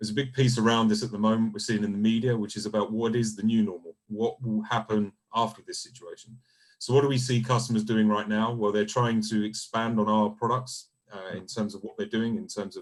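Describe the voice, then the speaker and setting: Talking at a fairly quick pace, a man with a British accent keeps a monotone, flat intonation. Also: medium pitch for a man. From UK. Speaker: solution engineering team lead. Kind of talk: webinar panel discussion. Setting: video call.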